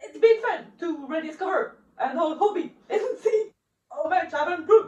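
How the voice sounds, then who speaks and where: A woman's extremely high voice, very slow with lively intonation and big swings in loudness. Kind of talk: reading aloud English sentences to an app.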